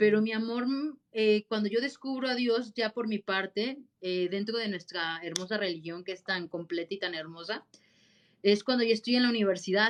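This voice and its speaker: A woman speaks at a moderate pace, her fairly high voice showing ordinary pitch variation. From central Mexico, Guanajuato. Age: 30s. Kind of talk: interview conversation.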